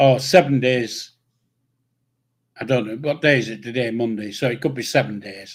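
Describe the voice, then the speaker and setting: With a Yorkshire accent, a man at medium pitch speaks at a moderate pace, with ordinary pitch variation, big swings in loudness, and long, frequent pauses. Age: old. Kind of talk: casual livestream chat.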